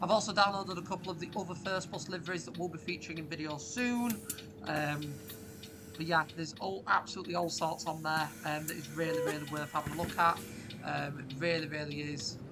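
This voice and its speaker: A woman with a northern English accent talks at a fairly quick pace in a very deep, low voice. Room echo is audible, along with noticeable background noise. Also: ordinary pitch variation. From northern England. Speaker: YouTuber, bus simulator gamer. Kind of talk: gameplay commentary. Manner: casual, frequent fillers.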